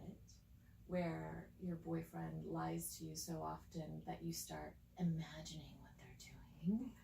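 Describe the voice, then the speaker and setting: Over audible room echo, a woman talks at a very slow pace. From Spain. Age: 40s. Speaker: psychic and spiritual guide. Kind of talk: casual chat.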